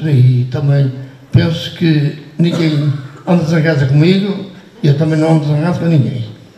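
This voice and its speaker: The speaker holds a very even loudness at a moderate pace with ordinary pitch variation, while audible room echo and noticeable background noise come through. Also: man, fairly high pitch for a man. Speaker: priest being honoured. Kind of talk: farewell speech. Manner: halting.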